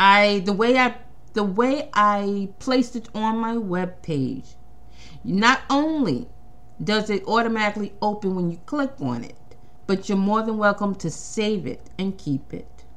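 With lively intonation, a woman talks at a fairly slow pace in a medium pitch. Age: 50s. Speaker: podcast host and playwright. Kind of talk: casual monologue. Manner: halting, with frequent restarts.

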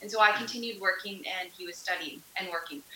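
Ordinary pitch variation in a Canadian prairie accent, with noticeable background noise and audible room echo. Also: woman. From Canada, Melfort, Saskatchewan. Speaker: missionary, nurse. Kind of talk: interview testimony.

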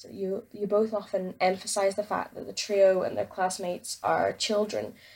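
A woman's medium-pitched voice with an Aberdeen accent. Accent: Scottish (Aberdeen). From Scotland, Aberdeen. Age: young. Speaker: listener leaving voicemail. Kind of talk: voicemail message.

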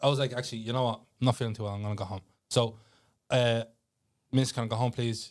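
With a Dublin accent, the speaker delivers a very fast, monotone, flat read in a very clean recording with a silent background. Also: man. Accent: Dublin Irish. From Ireland, Tallaght (Dublin). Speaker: CEO of a music and culture brand. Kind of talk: casual chat.

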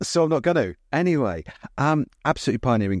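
Speaking fairly quickly with a British accent, a man swings his pitch very widely in a very clean recording with a silent background and a dry, close sound with no echo. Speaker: podcast host and cinema designer. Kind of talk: casual chat between co-hosts. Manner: fast talker.

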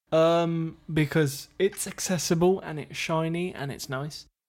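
A man with an English accent speaks at a fairly slow pace in a fairly high voice on a very clean recording with a silent background. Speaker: podcast co-host. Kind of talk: casual chat.

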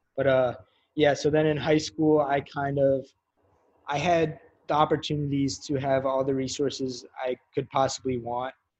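A man's fairly high voice with an American accent, at a moderate pace, in a monotone, flat delivery. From New York City. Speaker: college football player and fashion designer. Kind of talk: casual interview. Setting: video call. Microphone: poor remote audio quality.

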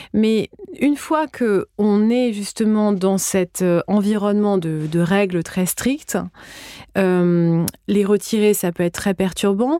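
Very slowly and at very even loudness, a woman with a medium pitch and a dark, mellow tone speaks with ordinary pitch variation, in a very clean recording with a silent background and a dry, close sound with no echo. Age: 40s. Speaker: podcast host and yoga teacher. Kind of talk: casual interview.

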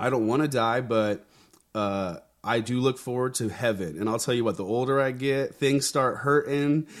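A man's normal speaking voice at medium pitch with an American accent, ordinary pitch variation and a moderate pace. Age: 30s. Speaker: pastor and army veteran. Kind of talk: interview conversation.

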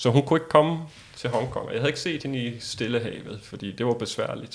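With vocal fry and fairly even intonation, a man talks very fast at a medium pitch. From Denmark. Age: 40s. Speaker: world traveller. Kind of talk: interview.

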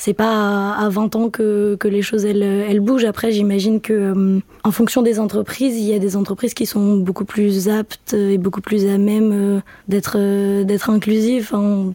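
A woman of medium pitch speaks at a fairly slow pace in a monotone, flat voice, her loudness very even. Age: 20s. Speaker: student. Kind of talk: casual chat. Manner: halting.

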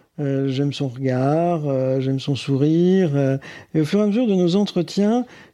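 A man with a dark, mellow tone talks fairly slowly, his pitch varying in an ordinary way. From northern France, Boulogne-sur-Mer (Pas-de-Calais). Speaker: interviewee sharing his love story. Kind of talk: personal testimony. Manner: hesitant, repeats words.

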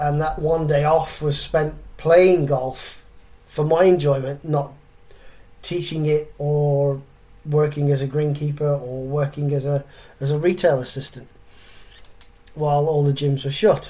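Speaking at a fairly slow pace with long, frequent pauses, a man uses a dark, mellow, somewhat breathy tone and a flat, monotone delivery. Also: fairly high pitch for a man. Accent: English. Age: 40s. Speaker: fitness coach and podcast host. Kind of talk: solo podcast monologue.

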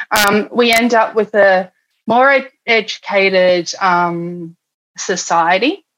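A woman speaks very slowly with an Australian accent and a medium pitch. Her pitch varies in an ordinary way, and her loudness stays very even. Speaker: political candidate and union organizer. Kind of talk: interview.

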